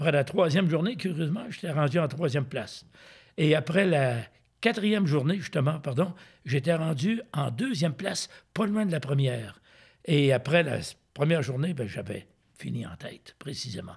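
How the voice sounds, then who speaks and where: Somewhat breathy and fairly high in pitch, a man talks at a moderate pace. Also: lively intonation. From Quebec City, Canada. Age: 70s. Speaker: retired ultramarathon runner. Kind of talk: interview answer.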